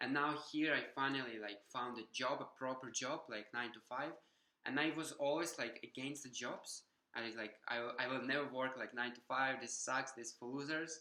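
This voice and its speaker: A man with a Ukrainian accent, medium pitch, fairly even intonation and a moderate pace. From Ukraine. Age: 20s. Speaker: vlogger. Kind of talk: personal vlog testimony. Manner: halting, many fillers.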